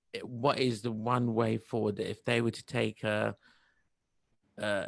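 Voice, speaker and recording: The speaker is a man. There is vocal fry in his voice. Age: middle-aged. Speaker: interviewer. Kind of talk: interview.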